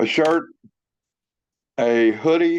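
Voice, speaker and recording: A man speaks against a quiet background. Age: 60s. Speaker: formerly incarcerated veteran sharing reentry experience. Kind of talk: testimony.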